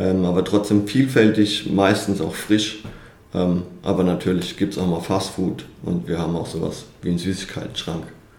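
A man's fairly low voice with ordinary pitch variation, at a fairly slow pace, with audible room echo. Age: 30s. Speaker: personal trainer and soldier. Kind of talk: interview.

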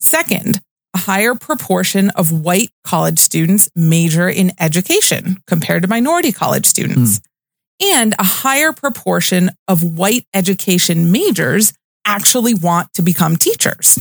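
The voice is somewhat breathy, with lively intonation and very even loudness at a moderate pace. The sound is dry and close, with no echo. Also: woman, medium pitch for a woman. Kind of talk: casual chat. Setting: studio.

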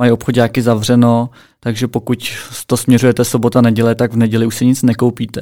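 A man's dark, mellow, calm voice at medium pitch and a fairly quick pace, in a very clean recording with a silent background. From Czech Republic, Plzeň. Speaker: podcast co-host. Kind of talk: casual chat.

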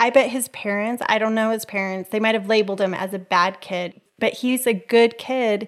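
A woman talks at a moderate pace with hardly any pauses, her fairly high voice keeping a fairly even intonation. The recording is very clean, with a silent background. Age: 50s. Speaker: podcast host and life coach. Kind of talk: casual interview.

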